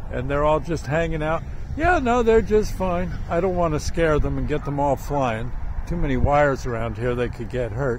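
Light background noise behind a dry, echo-free male voice. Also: moderate pace. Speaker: local person filming geese. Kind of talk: casual talk to camera. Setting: outdoors. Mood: amused, amazed. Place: open country. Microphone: phone near.

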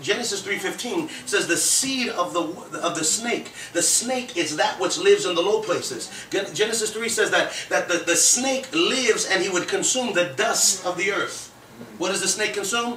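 A man's high voice at a moderate pace with lively intonation, with audible room echo and light background noise. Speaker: preacher. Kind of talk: sermon. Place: home room.

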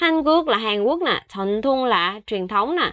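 A woman's ordinary speaking voice, fairly high in pitch, with lively intonation at a fairly slow pace. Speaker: Korean language teacher. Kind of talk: language lesson tutorial.

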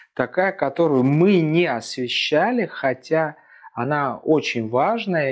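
Lively intonation marks this man's speech at a fairly slow pace. The background is quiet. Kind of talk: informational talk to camera. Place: office. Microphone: lapel.

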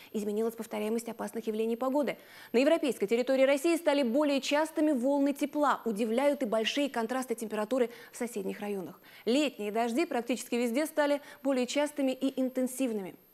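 Here a woman's voice sits high in pitch and moves at a very fast pace. Her pitch varies in an ordinary way. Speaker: climatologist. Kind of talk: scripted expert commentary in studio interview. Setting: studio. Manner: calm, explanatory, serious. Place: studio. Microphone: lapel.

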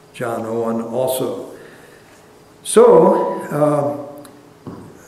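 Audible room echo around a man with a fairly high voice and very wide pitch swings. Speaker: church history lecturer and pastor. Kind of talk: lecture. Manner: hesitant, conversational. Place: church. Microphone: lapel.

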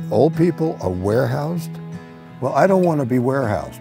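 Clear music plays in the background as a man with an American accent speaks with very wide pitch swings in a dry sound with no echo. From New York. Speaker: triathlete. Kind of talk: interview answer. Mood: humorous, confident. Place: open country. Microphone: lapel.

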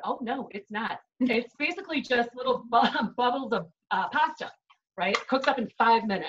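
With noticeable background noise behind her, a woman talks at a moderate pace in a high voice with lively intonation and a Chicago accent. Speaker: chef giving a cooking demo. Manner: upbeat, conversational. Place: kitchen. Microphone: video call.

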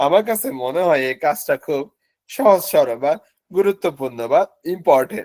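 A man talks in a normal speaking voice with lively intonation. The sound is dry and close, with no echo. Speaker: Japanese language teacher. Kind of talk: lecture. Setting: online class from office.

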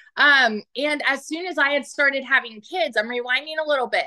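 A woman's raised, projected voice, bright and sharp in tone, with ordinary pitch variation, a moderate pace and a quiet background. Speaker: military spouse and mother; online business coach. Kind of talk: testimony. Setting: video call. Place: home room. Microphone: phone near.

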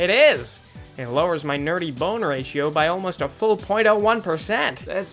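A woman uses a nasal, put-on character voice with a fairly low pitch and lively intonation. She speaks at a fairly slow pace with clear music in the background. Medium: machinima. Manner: bubbly, proud, rambling.

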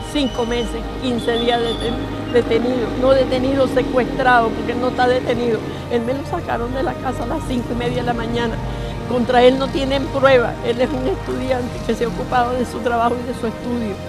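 A woman at a fairly quick pace, dry with no echo, over clear music in the background. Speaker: grandmother of a detained student. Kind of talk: public statement to press. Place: street. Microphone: handheld.

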